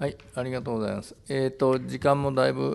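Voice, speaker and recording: A man talking at a fairly quick pace with very wide pitch swings. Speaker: moderator, journalist. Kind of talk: press conference moderation. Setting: press conference. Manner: halting. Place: hall. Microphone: podium.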